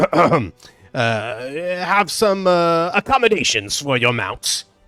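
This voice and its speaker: A man's put-on character voice, high-pitched and very slow, over music in the background. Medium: actual play. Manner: practical, businesslike.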